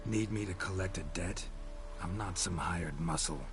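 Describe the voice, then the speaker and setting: A man does a put-on character voice at a moderate pace against loud background noise. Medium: game stream. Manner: terse, dry.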